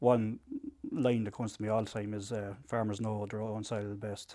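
On a very clean recording with a silent background, a man with an Irish accent speaks at a moderate pace in a monotone, flat way, his fairly low voice dark and mellow in tone. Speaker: farmers' group representative. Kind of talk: interview. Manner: halting.

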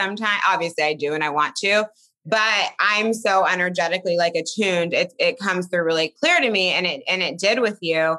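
A woman talks at a fairly quick pace in a fairly low, raspy voice. Her tone is bright and sharp. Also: ordinary pitch variation.

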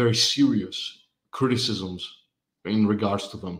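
With a Greek accent, a man speaks at a moderate pace in a fairly low pitch, his intonation fairly even. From Greece. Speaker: writer and amateur historian. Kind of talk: casual interview conversation. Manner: hesitant, many fillers.

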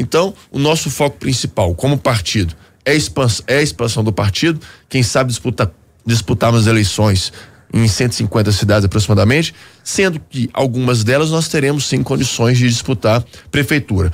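A man's somewhat breathy voice at a medium pitch, with lively intonation, very even loudness and a moderate pace. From Belo Horizonte, Minas Gerais, Brazil. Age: 30s. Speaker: politician, former federal deputy. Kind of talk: radio interview. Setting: radio studio.

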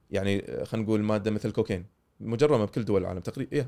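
A man speaks at a very fast pace with a Kuwaiti accent. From Kuwait, childhood in North America. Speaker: psychiatrist. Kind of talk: casual interview.

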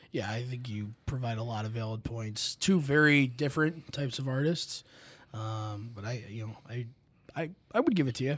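A man's medium-pitched, somewhat breathy voice at a moderate pace with ordinary pitch variation. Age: 20s. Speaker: college staff member. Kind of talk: casual chat.

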